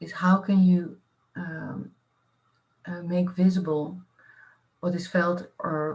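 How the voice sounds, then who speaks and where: The voice is somewhat breathy, moving at a fairly slow pace with fairly even intonation. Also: woman. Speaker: artist-researcher. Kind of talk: panel discussion. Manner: halting, many fillers.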